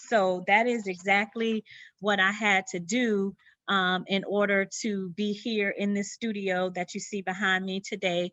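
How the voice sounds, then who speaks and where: Against a quiet background, a woman with a Southern US accent and a medium pitch talks at a fairly slow pace in a bright, sharp tone with monotone, flat intonation. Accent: Southern twang. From US South, Sumter, South Carolina. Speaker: interior designer. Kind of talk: presentation. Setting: video presentation from her studio. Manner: many fillers, halting.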